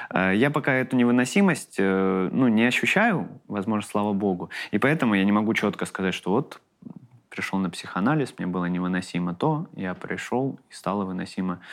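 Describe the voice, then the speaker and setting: In a very clean recording with a silent background, a man with a fairly low pitch speaks at a moderate pace with lively intonation. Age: 30s. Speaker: comedian. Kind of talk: casual chat. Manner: halting.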